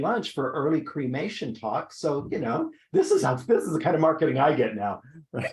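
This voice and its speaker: At a moderate speed, a man talks with a slight breathiness to his voice. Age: 70s. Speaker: esthetician and trainer. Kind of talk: interview on skincare business. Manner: halting, many fillers.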